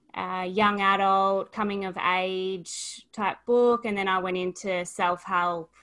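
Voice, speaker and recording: A woman with an Australian accent speaks at a very slow pace with medium pitch. Her intonation is monotone and flat, on a very clean recording with a silent background. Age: 20s. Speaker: author and life coach. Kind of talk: interview.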